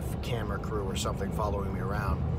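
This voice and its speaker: The pace is fairly quick in a dry sound with no echo. Loud background noise fills the recording. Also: man. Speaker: driver vlogger. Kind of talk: casual vlog chat. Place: car. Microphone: phone near.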